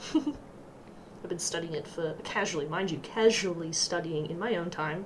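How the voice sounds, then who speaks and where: A woman with an Australian accent at a fairly slow pace, with audible room echo and noticeable background noise. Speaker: streamer and digital artist. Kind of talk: casual livestream chat while drawing. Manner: animated.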